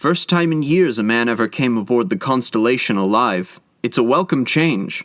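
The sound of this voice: The intonation moves in a lively way. It comes in an unforced reading voice.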